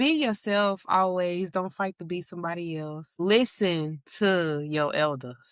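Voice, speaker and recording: A woman with a Southern US accent talks fairly slowly in a fairly low voice with lively intonation. The recording is very clean, with a silent background. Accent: Southern US country accent, noticeable. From Kentucky, US South. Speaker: podcast guest. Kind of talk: casual chat.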